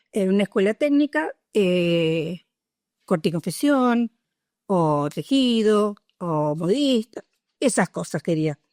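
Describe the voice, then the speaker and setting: Recorded very cleanly against a silent background, a woman speaks with very wide pitch swings in a dry, close sound with no echo. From Argentina, Punta Alta (Buenos Aires province). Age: 60s. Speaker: retired nurse, war veteran. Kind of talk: oral history interview. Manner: hesitant, many filler sounds.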